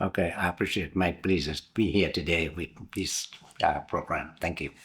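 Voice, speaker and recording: In a very clean recording with a silent background, a man with a very deep, low pitch talks at a moderate pace with fairly even intonation. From southern Vietnam, Binh Duong province near Saigon. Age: 70s. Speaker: interviewee, immigrant. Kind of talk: oral history interview.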